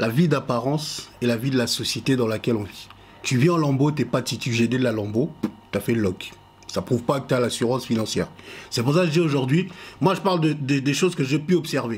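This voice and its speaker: A man with an unremarkable speaking voice, medium pitch, ordinary pitch variation, and a fairly quick pace. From Congo. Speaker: podcast panelist. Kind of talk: casual chat.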